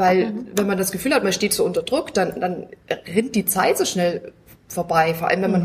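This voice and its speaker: A woman at a medium pitch and a fairly quick pace, with ordinary pitch variation and noticeable background noise. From Bavaria, near Munich. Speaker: self-help group member, patient. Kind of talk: casual chat. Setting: at a medical conference.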